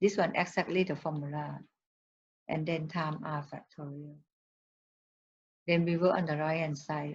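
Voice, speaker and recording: A woman speaks with monotone, flat intonation. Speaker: math teacher. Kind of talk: lecture. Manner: slow.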